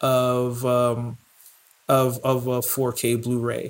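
A man's medium-pitched voice with an American accent, over noticeable background noise. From New York. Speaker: chef and podcast co-host. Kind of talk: casual chat.

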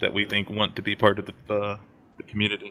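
The man speaks in a fairly low pitch with monotone, flat intonation. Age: 30s. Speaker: plumber and gaming community moderator. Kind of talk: casual chat.

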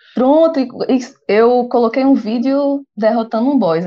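A woman speaks with a high pitch at a fairly slow pace. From Brazil, Pernambuco (Recife). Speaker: podcast co-host, gamer. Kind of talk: casual chat.

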